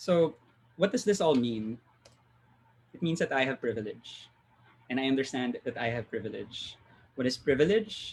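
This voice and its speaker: Somewhat breathy and medium in pitch, a man speaks with lively intonation and long, frequent pauses. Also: moderate pace. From Philippines. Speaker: UX designer. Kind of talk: talk.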